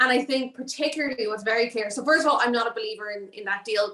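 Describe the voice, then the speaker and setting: With noticeable background noise behind her, a woman speaks very fast in a fairly high voice with an Irish accent and ordinary pitch variation. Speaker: political risk analyst. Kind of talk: panel discussion. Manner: halting with repetitions.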